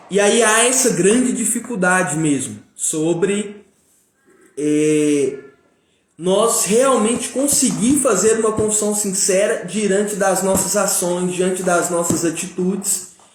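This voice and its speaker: Over music in the background, a man with a high pitch talks at a very slow pace with ordinary pitch variation and very even loudness. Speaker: live stream speaker on personal growth. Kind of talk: live stream talk. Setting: live stream. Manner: casual, filler-heavy.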